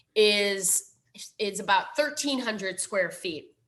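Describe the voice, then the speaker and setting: Her tone is bright and sharp, with a fairly high pitch. The woman speaks at a fairly slow pace. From Minnesota. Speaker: library foundation director. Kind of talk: presentation.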